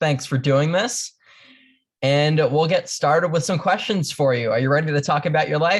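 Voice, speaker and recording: The woman's pitch is very deep and low. She talks at a moderate speed. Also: ordinary pitch variation, very even loudness, quiet background. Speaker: family interviewer. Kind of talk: interview questions.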